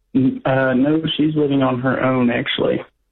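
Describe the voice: A man's medium-pitched voice with vocal fry, little pitch movement and a moderate pace.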